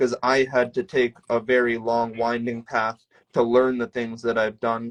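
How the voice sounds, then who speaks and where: A man with a plain, everyday voice at a medium pitch talks at a fairly slow pace. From Canada, small town. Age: 20s. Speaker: professional bodybuilder and coach. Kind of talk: casual interview chat.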